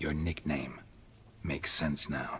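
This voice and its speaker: Over clear background noise, a man puts on a character voice with a very deep, low pitch. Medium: video game. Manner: terse, deadpan.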